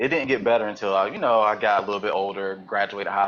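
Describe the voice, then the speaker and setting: A man talks very fast in a Southern US accent, his pitch fairly low. His intonation stays fairly even over a quiet background. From US South, eastern North Carolina. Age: 30s. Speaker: podcast guest. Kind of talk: interview. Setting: live webcast.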